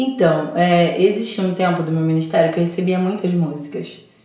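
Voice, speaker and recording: With audible room echo and noticeable background noise, a woman speaks at a moderate pace and medium pitch. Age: 30s. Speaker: gospel singer. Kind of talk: interview. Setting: studio. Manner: talkative, animated.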